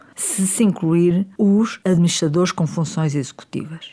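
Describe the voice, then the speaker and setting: Here a woman speaks with a European Portuguese accent in a fairly low pitch. Her tone is dark and mellow, with ordinary pitch variation. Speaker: politician. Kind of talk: opinion commentary. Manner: formal.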